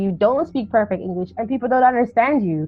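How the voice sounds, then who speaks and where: A woman with a Jamaican accent talks very fast in a high pitch with lively intonation. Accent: some Jamaican patois. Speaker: YouTuber and podcaster. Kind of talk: casual interview. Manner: hesitant, many fillers.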